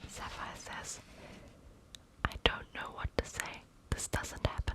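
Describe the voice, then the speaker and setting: Whispering in a calm tone at a very slow pace, the speaker is heard over noticeable background noise. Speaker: ASMR reader. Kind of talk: ASMR bedtime story reading. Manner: soft, calm, cozy.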